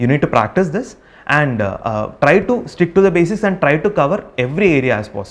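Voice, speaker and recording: A man with a Keralan accent talks at a fairly quick pace, his fairly high pitch swinging very widely. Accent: Indian English, Malayali. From Kerala, India. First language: Malayalam. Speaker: civil service exam topper. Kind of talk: advice talk to exam candidates. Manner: hesitant, many fillers.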